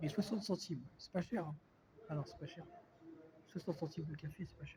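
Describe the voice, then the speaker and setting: Fairly quick pace with ordinary pitch variation. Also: man, high pitch for a man. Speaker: vlogger. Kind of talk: casual vlog talk. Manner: hesitant, many fillers.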